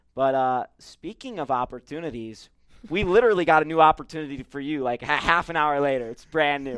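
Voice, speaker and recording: A man talks at a fairly quick pace, his voice fairly high in pitch with ordinary variation. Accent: American. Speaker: sports podcast host. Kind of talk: broadcasting voice. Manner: fast talker on ad reads.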